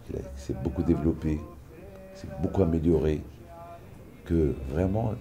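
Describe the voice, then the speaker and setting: A man with a very deep, low pitch talks at a fairly slow pace, with ordinary pitch variation and long, frequent pauses. His loudness swings widely, and there is noticeable background noise along with audible room echo. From Morocco. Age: 60s. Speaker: pilgrimage organizer. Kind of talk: interview testimony.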